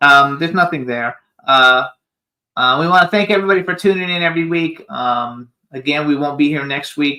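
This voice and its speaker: Here is a man with an American accent and an ordinary speaking voice. His pitch is fairly high with ordinary variation, and his pace is fairly quick. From Florida. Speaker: radio talk show host. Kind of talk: casual chat.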